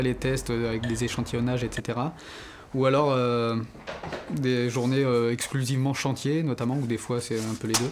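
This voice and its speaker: Noticeable background noise sits behind a man's voice. He speaks at a medium pitch with monotone, flat intonation. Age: 20s. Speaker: apprentice student. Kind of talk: interview testimony. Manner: hesitant, many fillers.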